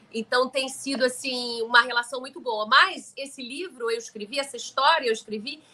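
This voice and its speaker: A woman speaks in a raised, projected voice. Her intonation is lively. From Rio de Janeiro, Brazil. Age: 60s. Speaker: author and storyteller. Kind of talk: live stream chat about her book. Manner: informal, conversational.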